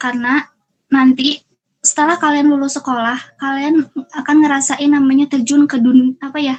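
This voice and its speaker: The voice belongs to a woman with a high pitch. She speaks at a fairly quick pace. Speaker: university student and student organizer. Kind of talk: motivational speech to youth. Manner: animated.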